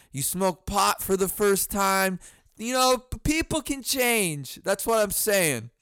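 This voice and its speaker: A man's high voice with very wide pitch swings at a very slow pace, music in the background. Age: 20s. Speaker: podcast host and comedian. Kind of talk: casual comedic monologue. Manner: animated, stammering repetitions.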